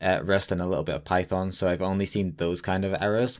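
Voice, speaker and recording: On a very clean recording with a silent background, a man with a very deep, low pitch talks at a fairly quick pace. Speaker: podcast host. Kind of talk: casual interview chat.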